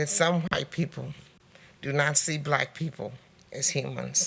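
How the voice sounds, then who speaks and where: Speech unfolds at a fairly slow pace. Everything sounds very clean, and the background is silent. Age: 60s. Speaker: public speaker at hearing. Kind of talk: prepared public testimony. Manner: formal.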